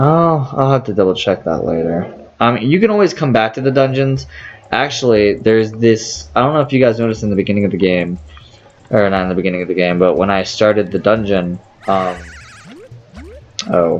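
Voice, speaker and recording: A man with a fairly low voice and lively intonation talks at a fairly quick pace, broken by long, frequent pauses, over noticeable background noise. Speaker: gaming let's player. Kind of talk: gameplay commentary. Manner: halting, stuttering. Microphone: poor audio quality.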